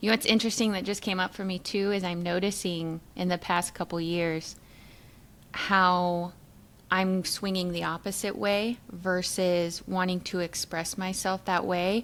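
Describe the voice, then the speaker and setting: A woman with an unremarkable speaking voice speaks at a medium pitch with fairly even intonation on a very clean recording with a silent background. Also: fairly slow pace. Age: 40s. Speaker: podcast co-host. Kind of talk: casual chat.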